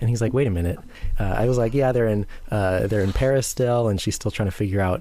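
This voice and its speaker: A man's dark, mellow voice, medium in pitch, with ordinary pitch variation. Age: 30s. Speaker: podcast co-host. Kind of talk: casual chat. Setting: remote call.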